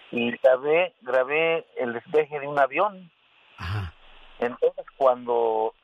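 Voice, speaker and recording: Very slow in pace, a man talks at a medium pitch with lively intonation. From Mexico, Hidalgo. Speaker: radio caller. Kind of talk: casual chat.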